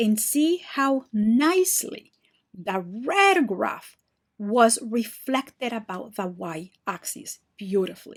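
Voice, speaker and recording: A woman talks at a very slow pace with a fairly high pitch. Her pitch swings very widely, and her voice is somewhat breathy. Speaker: math teacher. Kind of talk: tutorial.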